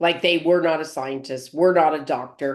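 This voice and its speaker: A woman speaks at a moderate pace. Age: 60s. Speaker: network marketing top earner. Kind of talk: casual chat. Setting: group video call. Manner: animated.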